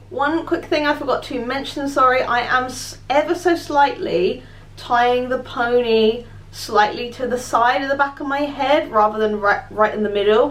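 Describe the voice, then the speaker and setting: A woman with a British accent speaks at a high pitch with lively intonation. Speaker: beauty vlogger. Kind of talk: tutorial.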